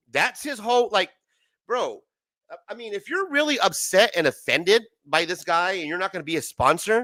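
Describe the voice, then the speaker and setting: A man's raised, projected voice has a bright, sharp tone and very wide pitch swings, in a dry, close sound with no echo. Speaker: comic book commentary streamer. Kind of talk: heated rant on a live stream chat. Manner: agitated, stammering.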